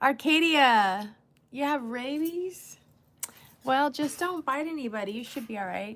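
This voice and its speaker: A high-pitched woman's voice with an American accent, lively intonation and a fairly slow pace. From California. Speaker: livestreamer. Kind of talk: casual chat.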